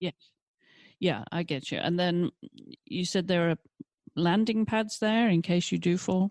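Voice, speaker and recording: In a dry, close recording with no echo and a quiet background, a woman with a fairly low pitch and ordinary pitch variation talks at a fairly slow pace with long, frequent pauses. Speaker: podcast host. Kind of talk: interview questions.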